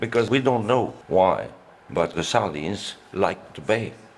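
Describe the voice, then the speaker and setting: The voice has vocal fry and moves at a fairly slow pace. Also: man. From France, Brittany (Douarnenez). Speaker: local historian. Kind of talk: documentary interview.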